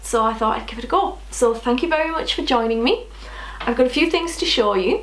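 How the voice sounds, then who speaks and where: A woman is speaking with audible room echo. Noticeable background noise can be heard. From northeast England. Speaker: knitting podcaster. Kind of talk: casual chat.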